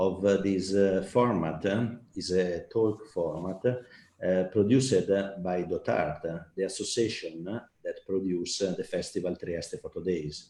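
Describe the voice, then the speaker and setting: In an Italian accent, a man talks at a fairly slow pace with a fairly low pitch and a dark, mellow tone. His pitch varies in an ordinary way, and the background is quiet. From Italy. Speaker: festival art director and talk host. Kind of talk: online talk hosting. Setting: online live stream. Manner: halting, many fillers.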